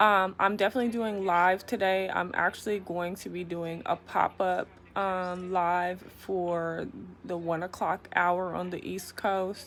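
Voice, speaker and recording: A soft-spoken woman talks fairly slowly in a flat monotone on a very clean recording with a silent background. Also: medium pitch for a woman. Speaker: YouTube vlogger. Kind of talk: casual vlog monologue. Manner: hesitant, many fillers.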